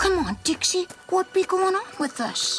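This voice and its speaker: Extremely high-pitched cartoonish character voice at a moderate pace, with clear background noise. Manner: boisterous, blustering, laughing.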